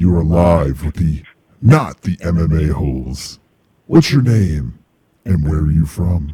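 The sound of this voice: Growling in a put-on character voice, the speaker moves at a fairly slow pace with long, frequent pauses. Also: man, very deep, low pitch for a man.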